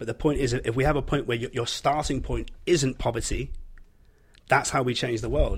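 A man's somewhat breathy voice in a Yorkshire accent, very fast in pace and fairly even in intonation. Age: 30s. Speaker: podcast guest. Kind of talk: casual discussion.

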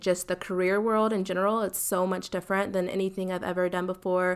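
A fairly quick woman's voice in an American accent, on a very clean recording with a silent background. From US South, South Carolina. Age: 20s. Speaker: podcast host, TV news worker. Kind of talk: casual monologue. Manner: fast.

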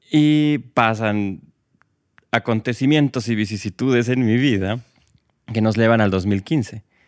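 A man with a medium-pitched voice speaks at a very slow pace with long, frequent pauses and very even loudness. The sound is dry and close with no echo, on a very clean recording with a silent background. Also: ordinary pitch variation. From Bolivia. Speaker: guest, LGBT project co-founder. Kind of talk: casual interview chat.

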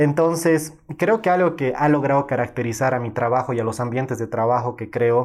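Over a quiet background, a man with an ordinary speaking voice and medium pitch talks at a fairly quick pace. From Bolivia, Cochabamba. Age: 20s. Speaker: photographer. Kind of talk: interview.

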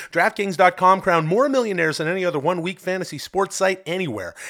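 A man's very fast delivery, bright and sharp in tone, with vocal fry. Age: 40s. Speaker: podcast host. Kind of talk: read-out ad.

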